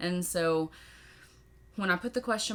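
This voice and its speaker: Speaking in a Southern US accent, a woman keeps a moderate pace. Her pitch is fairly low. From Tennessee, US South. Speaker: podcaster and birth mother. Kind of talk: Q&A monologue. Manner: animated.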